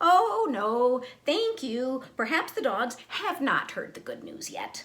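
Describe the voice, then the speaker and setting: A woman uses a put-on character voice pitched high. She speaks at a fairly slow pace. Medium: read story. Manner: smooth, wheedling.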